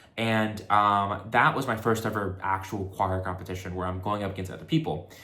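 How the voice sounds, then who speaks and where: A man with an American accent talks at a moderate pace, with audible echo in the room. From Texas. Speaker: vlogger. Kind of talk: casual chat. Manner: casual, with many fillers.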